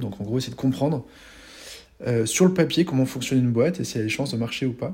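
With a dark, mellow tone that is somewhat breathy, the voice shows ordinary pitch variation on a very clean recording with a silent background. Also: man. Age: 40s. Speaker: serial entrepreneur and educator. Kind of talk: casual interview chat.

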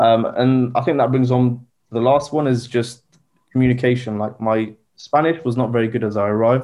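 The speech moves at a moderate pace with fairly even intonation. It comes in a southern English accent. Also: man, medium pitch for a man. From southern England (Southampton). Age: 20s. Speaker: recent graduate. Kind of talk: casual chat.

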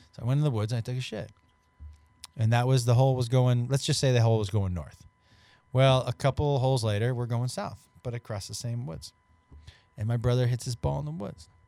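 The voice has a dark, mellow tone and ordinary pitch variation, moving at a fairly quick pace with long, frequent pauses. The recording is very clean, with a silent background. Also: man, medium pitch for a man. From small-town Massachusetts. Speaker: stand-up comedian. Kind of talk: casual chat. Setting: studio, live podcast.

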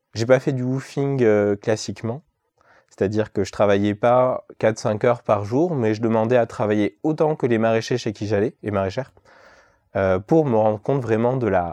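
In a dry, close sound with no echo, a man with a medium pitch and a dark, mellow tone speaks at a moderate pace with ordinary pitch variation. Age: 30s. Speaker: market gardener. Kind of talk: interview. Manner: hesitant, many filler sounds.

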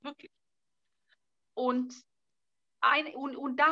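Projecting her voice, a woman with a Bulgarian accent speaks high and with a bright, sharp tone in a dry, close sound with no echo. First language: Bulgarian (speaking German). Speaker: author and fashion designer. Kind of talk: casual interview chat. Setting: video call from an island.

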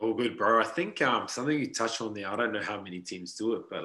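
With a New Zealand accent, a man talks at a very fast pace in a bright, sharp tone at a medium pitch. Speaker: podcast host, mental performance coach. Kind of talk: casual chat.

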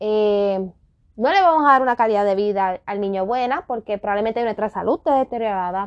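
Fairly high-pitched and fairly quick, a woman talks in a normal speaking voice with ordinary pitch variation. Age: 30s. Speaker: podcast host. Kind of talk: solo podcast rant.

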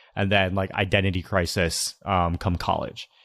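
The recording is very clean, with a silent background. A man uses a normal speaking voice, fairly low in pitch, at a moderate pace with fairly even intonation. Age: 20s. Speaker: content creator and entrepreneur. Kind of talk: interview conversation.

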